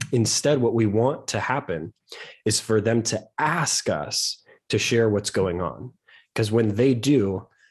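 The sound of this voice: A man does a hoarse, put-on character voice at a medium pitch. He goes fairly slowly over a quiet background.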